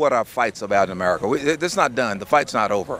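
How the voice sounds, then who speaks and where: A man with an unremarkable speaking voice, fairly low pitch and a fairly quick pace. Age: 60s. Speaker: business and civic leader. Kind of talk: interview.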